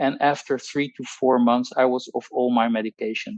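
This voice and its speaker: A man with a Dutch accent at a moderate pace, ordinary pitch variation, and a dry, close sound with no echo. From Netherlands. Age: 60s. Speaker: pharmacologist. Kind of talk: testimony. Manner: halting.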